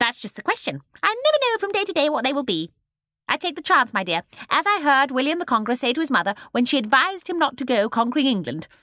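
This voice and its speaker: In a put-on character voice, a female-sounding speaker cackles in a shrill, high, raised and projected tone, racing very fast with very wide pitch swings. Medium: read story. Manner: quick mood swings, cackling.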